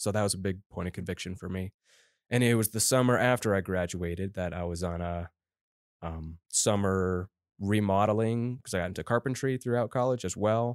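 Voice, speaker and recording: On a very clean recording with a silent background, a man with an American accent talks fairly quickly in an unremarkable speaking voice with ordinary pitch variation. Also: fairly low pitch for a man. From Colorado. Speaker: church intern. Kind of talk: interview testimony.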